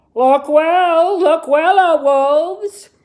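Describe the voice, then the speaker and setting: A high-pitched, put-on character voice. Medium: read story. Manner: solemn, commanding.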